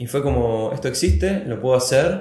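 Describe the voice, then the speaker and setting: This man's voice has vocal fry. He speaks with a Rioplatense accent. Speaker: writer and screenwriter. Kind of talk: interview. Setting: studio.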